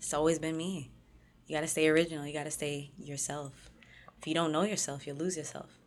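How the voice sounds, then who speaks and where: Audible room echo surrounds a woman who talks very fast at a very deep, low pitch with monotone, flat intonation. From Toronto area, Canada. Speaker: rapper. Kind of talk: casual interview.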